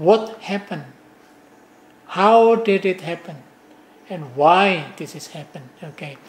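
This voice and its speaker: A high-pitched man with ordinary pitch variation and big swings in loudness, over noticeable background noise. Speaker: professor. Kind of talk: lecture. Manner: halting.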